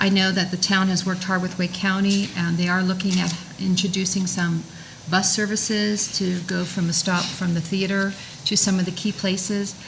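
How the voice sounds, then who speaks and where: Flat, monotone speech at a moderate pace, with audible room echo and noticeable background noise. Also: woman, medium pitch for a woman. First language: French. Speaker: town council candidate. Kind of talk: candidate forum answer. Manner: halting.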